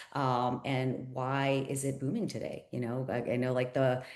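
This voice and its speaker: In an American accent, a woman talks at a moderate pace with a very deep, low pitch. Audible room echo is present. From Pittsburgh, Pennsylvania. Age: 40s. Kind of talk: sales pitch. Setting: video call. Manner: animated.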